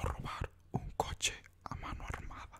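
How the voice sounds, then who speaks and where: A man is whispering. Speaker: ASMR creator. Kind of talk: soft-spoken ASMR narration of trivia list. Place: home room. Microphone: studio mic.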